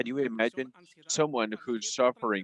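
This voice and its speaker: This man speaks with a Spanish accent. The sound is dry and close, with no echo. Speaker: community speaker at public assembly. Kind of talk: public testimony speech.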